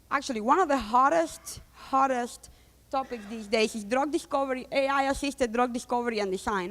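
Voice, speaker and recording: With a Spanish accent, the speech runs at a fairly quick pace and shows ordinary pitch variation. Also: woman. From Cuba. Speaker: data scientist and company founder. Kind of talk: conference talk.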